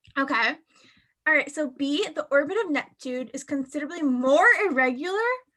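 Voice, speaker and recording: A woman talks at a high pitch in a raised, projected voice. Her tone is bright and sharp, and her pitch varies in an ordinary way. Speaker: LSAT tutor. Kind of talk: online tutoring class. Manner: casual, conversational; fast.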